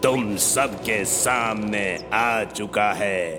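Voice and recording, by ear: A man's cartoonish character voice, menacing in tone and at medium pitch, very slow in pace, with clear music in the background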